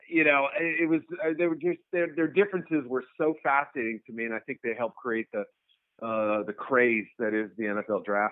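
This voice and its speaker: With a normal speaking voice, a man talks at a moderate pace, his medium pitch carrying lively intonation. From New England, US. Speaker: sports journalist. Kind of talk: interview.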